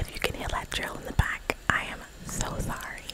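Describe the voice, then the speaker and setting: Whispering at a fairly slow pace, a woman is soft-spoken. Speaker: ASMR creator. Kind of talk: soft ASMR word repetition and chat. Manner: soft close-mic ASMR whisper. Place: home room. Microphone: studio mic.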